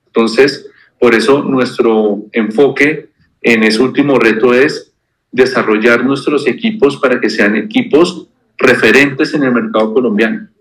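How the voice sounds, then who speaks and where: A man has an unremarkable speaking voice at a medium pitch. He talks at a fairly slow pace with lively intonation. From Colombia, Bogotá. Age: 40s. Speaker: bank executive. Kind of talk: interview.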